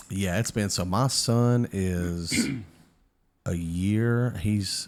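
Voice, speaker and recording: With a Southern US accent, this voice moves at a very slow pace with very even loudness and ordinary pitch variation, on a very clean recording with a silent background. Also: man, fairly low pitch for a man. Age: 20s. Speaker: podcaster. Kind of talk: casual chat.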